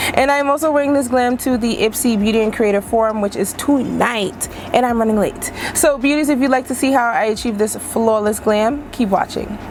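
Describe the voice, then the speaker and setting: At a fairly quick pace, a woman speaks in a fairly high pitch with very even loudness. Noticeable background noise is present. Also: ordinary pitch variation. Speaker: beauty vlogger. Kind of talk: makeup tutorial. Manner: casual, chatty.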